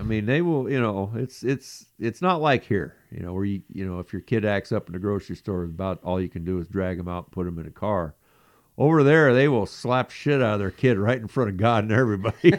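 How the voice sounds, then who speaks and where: A man with a plain, everyday voice, fairly low-pitched, with lively intonation and a fairly quick pace, dry, close sound with no echo and a quiet background. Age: 60s. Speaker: podcast co-host. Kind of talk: reading news stories aloud; casual chat.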